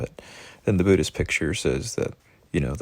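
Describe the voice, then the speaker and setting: A man with vocal fry speaks using very wide pitch swings. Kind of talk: reflective monologue. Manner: somber.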